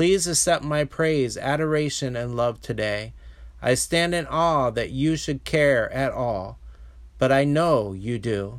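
A man talks fairly slowly in a normal speaking voice, his medium pitch showing ordinary variation. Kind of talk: fervent prayer of praise. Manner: reverent; earnest, heartfelt.

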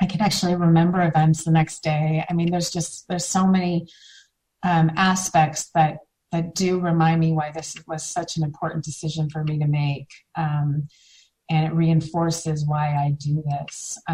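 A woman speaks in a fairly low, somewhat breathy voice. Her intonation is monotone and flat. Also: moderate pace. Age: 40s. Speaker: mom blogger in recovery from alcohol. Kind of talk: interview about personal recovery. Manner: many filler words (um).

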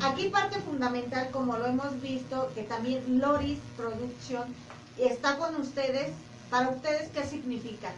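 Noticeable background noise and audible room echo accompany a woman who speaks at a fairly slow pace with a high pitch and ordinary pitch variation. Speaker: sonidero organization member. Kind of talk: casual chat.

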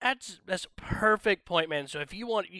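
A man speaks in a Southern US accent with lively intonation. The recording is very clean and dry, close with no echo, over a silent background. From US South, northwest Georgia. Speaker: YouTube gaming channel creator, tabletop wargamer. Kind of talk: casual chat.

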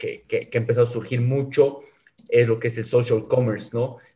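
A man talks at a fairly quick pace and medium pitch. His voice is somewhat breathy and his intonation monotone and flat. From South America. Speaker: podcast host. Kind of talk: interview. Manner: halting, frequent fillers.

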